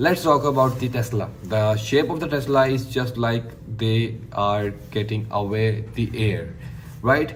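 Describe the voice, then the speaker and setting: A man with a Pakistani accent and a medium-pitched voice speaks fairly slowly with ordinary pitch variation, amid audible room echo and noticeable background noise. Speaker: tech YouTuber. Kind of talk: casual product review monologue. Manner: enthusiastic; halting.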